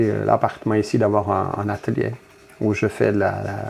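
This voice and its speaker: A man with a fairly low pitch. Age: 60s. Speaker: factory worker and union delegate. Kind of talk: interview. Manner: halting, many hesitations.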